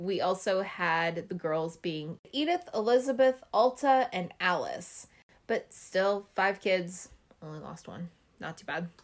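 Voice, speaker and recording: A woman's medium-pitched voice, an ordinary speaking voice, with lively intonation, a fairly slow pace and big swings in loudness, on a very clean recording with a silent background. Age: 30s. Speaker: podcast co-host. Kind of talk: reading aloud; casual chat.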